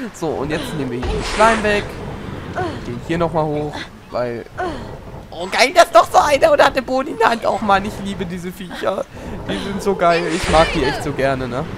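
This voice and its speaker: Amid noticeable background noise, a man speaks at a moderate pace with a high pitch, very wide pitch swings, and long, frequent pauses. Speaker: gaming YouTuber. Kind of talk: let's play commentary. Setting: home recording. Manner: animated.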